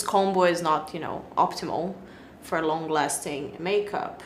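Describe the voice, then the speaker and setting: Moderate pace amid noticeable background noise and audible room echo. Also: woman. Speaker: beauty vlogger. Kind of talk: product review.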